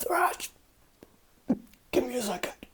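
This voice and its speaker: A man puts on a character voice at an extremely high pitch. The voice is raspy. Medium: actual play.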